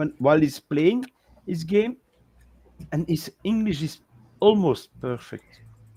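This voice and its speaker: With a non-native accent, a man talks at a fairly slow pace, pausing long and often. His pitch is high, his tone dark and mellow, and his intonation lively. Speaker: talk show co-host. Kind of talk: casual chat.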